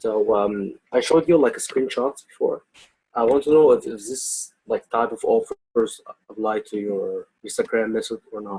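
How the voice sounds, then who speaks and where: A man with a slight non-native accent speaks at a moderate pace with big swings in loudness, recorded dry and close with no echo. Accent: slight foreign. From outside the US. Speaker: webinar participant asking questions. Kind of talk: question and answer webinar. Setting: video call with screen share. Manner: halting. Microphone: poor voice quality.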